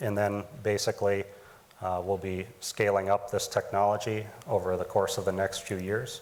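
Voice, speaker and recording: A man with a Midwestern accent talks at a moderate pace. He leaves long, frequent pauses. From US Midwest, Wisconsin. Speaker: startup founder. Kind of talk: pitch presentation. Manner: many filler ums.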